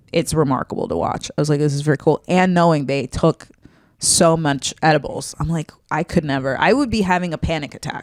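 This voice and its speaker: Her pitch very deep and low, a woman speaks at a fairly quick pace. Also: ordinary pitch variation, dry, close sound with no echo. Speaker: comedian and podcast co-host. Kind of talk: casual chat. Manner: mid to low energy.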